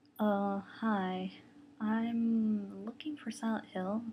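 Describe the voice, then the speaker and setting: A woman's put-on character voice, fairly high in pitch, mumbling at a very slow pace. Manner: awkward, mumbling.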